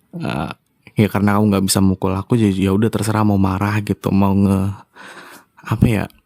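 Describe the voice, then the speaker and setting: The voice is monotone and flat, with a dry, close sound and no echo. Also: man. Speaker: ASMR roleplayer. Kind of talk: casual talk to listeners, apology and channel update. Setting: slightly noisy room away from home. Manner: hesitant, many fillers.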